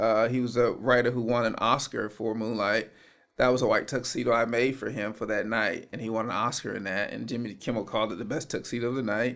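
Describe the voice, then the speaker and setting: Delivered at a very fast pace, a man's medium-pitched voice stays in a monotone, flat intonation. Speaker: real estate agent, fashion designer. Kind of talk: podcast interview answer. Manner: soft-spoken.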